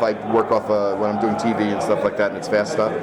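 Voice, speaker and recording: Noticeable background noise runs beneath very fast speech in an American accent. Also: man. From Long Island, New York. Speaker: voice actor; commercial spokesman. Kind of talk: interview answer.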